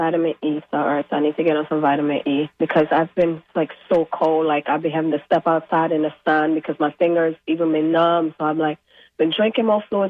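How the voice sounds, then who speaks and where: Loudness stays very even at a fairly quick pace. There are hardly any pauses. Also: woman. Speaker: caller. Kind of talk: call-in question on radio. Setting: phone call.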